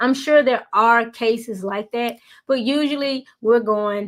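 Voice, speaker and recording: A woman speaks at a fairly slow pace in a Southern US accent, her pitch fairly high with ordinary variation. The recording is very clean, with a silent background. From US Deep South. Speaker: YouTuber. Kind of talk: motivational talk. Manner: casual, with fillers.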